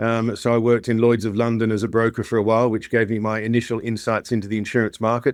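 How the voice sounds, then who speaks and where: With a slight Australian accent, a man talks at a very fast pace with hardly any pauses. His medium-pitched voice is monotone and flat. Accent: slight Australian twang. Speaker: insurance tech company founder and CEO. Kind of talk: podcast interview.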